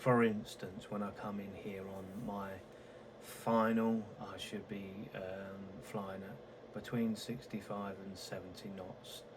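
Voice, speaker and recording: A man's fairly low-pitched, monotone, flat delivery amid noticeable background noise and audible room echo. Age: old. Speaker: flight sim gamer. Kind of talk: gameplay commentary. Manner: halting; soft-spoken.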